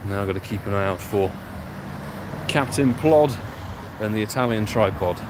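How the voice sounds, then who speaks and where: A man's fairly low voice with an English accent at a moderate pace, with long, frequent pauses and noticeable background noise. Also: ordinary pitch variation. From London, England. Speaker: pokemon go streamer. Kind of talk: live stream commentary. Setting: outdoors playing on the go. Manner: casual, animated.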